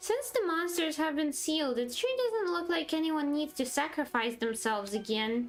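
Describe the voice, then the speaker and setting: A high-pitched, put-on character voice runs on with hardly any pauses. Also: moderate pace. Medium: game stream. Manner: chatty, cheeky.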